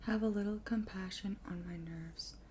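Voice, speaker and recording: Talking at a fairly slow pace, this speaker is soft-spoken. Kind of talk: soft-spoken ASMR book reading.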